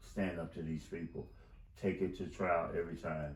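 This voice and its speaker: A man's very deep, low voice carries vocal fry and fairly even intonation, with audible room echo around it. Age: 60s. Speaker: wrongful conviction advocate. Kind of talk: interview. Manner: halting.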